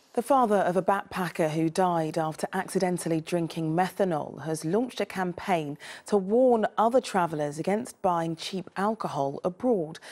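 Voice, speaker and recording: A woman with a London accent speaks in a fairly low, warm tone. She hardly pauses at all. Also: ordinary pitch variation, moderate pace, quiet background. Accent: southern English (London). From England, London area. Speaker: TV news presenter. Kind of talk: regional evening TV news bulletin reading. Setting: TV studio. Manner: crisp, measured newsreader delivery; brisk, warm sign-off to camera. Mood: serious, measured. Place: studio. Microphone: lapel.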